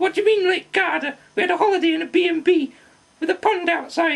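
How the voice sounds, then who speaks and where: An extremely high, cartoonish character voice. It races along at a very fast pace. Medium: puppet.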